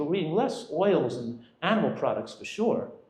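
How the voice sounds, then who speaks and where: A man speaks at a fairly quick pace with very wide pitch swings. Audible room echo surrounds his voice. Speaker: physician giving a nutrition talk. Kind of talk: lecture. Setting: restaurant event with audience. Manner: fast.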